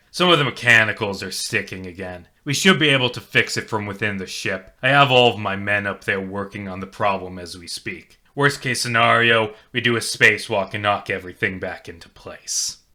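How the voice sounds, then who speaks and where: A man's put-on, gruff character voice at a fairly low pitch and fairly quick pace, with ordinary pitch variation, big swings in loudness and hardly any pauses. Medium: read story. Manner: blunt, matter-of-fact.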